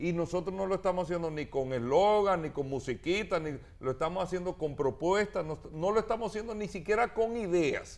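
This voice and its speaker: At a fairly quick pace, a man speaks in a high pitch with lively intonation. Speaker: mayoral candidate. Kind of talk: interview. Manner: animated.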